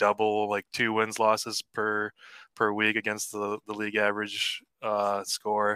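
A man's fairly low, bright and sharp voice with an American accent, flat monotone intonation, and a dry, close sound with no echo on a very clean recording with a silent background. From Cleveland, Ohio, US Midwest. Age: 30s. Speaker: league member, interview guest. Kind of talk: casual interview.

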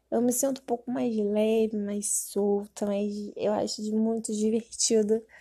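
A woman talks at a very slow pace, her fairly high voice somewhat breathy with a dark, mellow tone. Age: 20s. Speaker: podcaster, gamer. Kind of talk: casual monologue.

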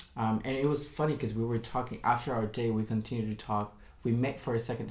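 A man talks at a very fast pace in a medium-pitched, somewhat breathy voice with ordinary pitch variation. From New York. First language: Spanish. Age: 20s. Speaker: podcast guest. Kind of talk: casual chat.

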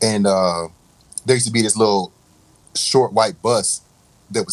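A man with an American accent at a fairly low pitch and moderate pace, in a very clean recording with a silent background. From Raleigh, North Carolina. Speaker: music producer and DJ. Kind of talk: casual interview.

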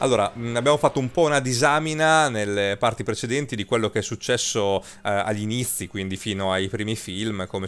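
A man with an unremarkable speaking voice talks at a fairly quick pace, his fairly low pitch showing ordinary pitch variation. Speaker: radio host. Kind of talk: casual chat. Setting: studio.

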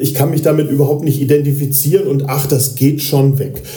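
A man with a fairly high pitch speaks at a moderate pace amid noticeable background noise and audible room echo. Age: 50s. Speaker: radio journalist and podcast co-host. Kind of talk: casual chat. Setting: patient room in a rehab clinic. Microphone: poor recording quality.

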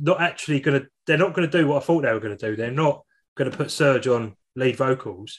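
This man has an unremarkable speaking voice, fairly high in pitch, with lively intonation over a quiet background. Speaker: podcast host. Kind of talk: casual chat.

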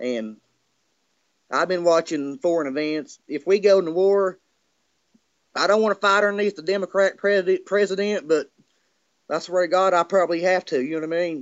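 Speaking with a Southern US accent, a man keeps a moderate pace and a high pitch with ordinary pitch variation. Long, frequent pauses run through his speech. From US South. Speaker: caller. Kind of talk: casual chat. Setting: video call.

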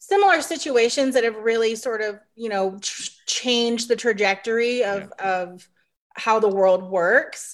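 In an ordinary speaking voice, a woman with fairly high pitch and ordinary pitch variation speaks at a moderate pace on a very clean recording with a silent background. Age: 30s. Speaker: advertising agency staffer. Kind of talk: casual chat.

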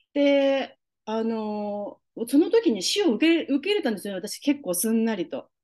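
A woman's high-pitched voice with a dark, mellow tone and very wide pitch swings. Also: moderate pace. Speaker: holistic beautician. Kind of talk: casual interview.

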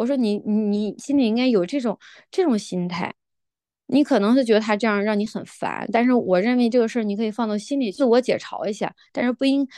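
A woman talks at a fairly quick pace in a fairly high voice with a dark, mellow tone and ordinary pitch variation. The sound is dry and close with no echo, over a quiet background. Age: 40s. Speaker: mother of three. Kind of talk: casual chat.

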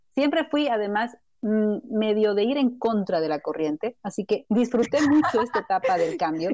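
A woman's fairly high, dark and mellow voice at a moderate pace, with very wide pitch swings. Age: older than guest. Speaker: wellness podcast host, health coach. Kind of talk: interview.

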